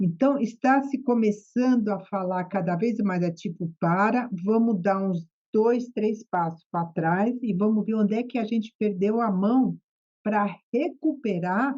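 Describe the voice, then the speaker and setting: The speaker has a Brazilian accent and a somewhat breathy voice. The pace is fairly slow, with ordinary pitch variation. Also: woman, fairly high pitch for a woman. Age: 60s. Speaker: psychotherapist. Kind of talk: podcast interview.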